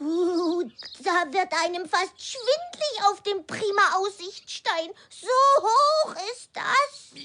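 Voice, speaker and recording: This put-on character voice sits at an extremely high pitch with a gentle tone. The delivery is very slow. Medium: audio drama. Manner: gentle, friendly.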